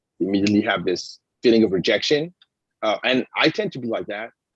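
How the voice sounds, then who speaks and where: In a French accent, a man talks at a very fast pace. The sound is dry and close, with no echo. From France. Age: 50s. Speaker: comic book writer and artist. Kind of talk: interview conversation. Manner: halting, many fillers and restarts.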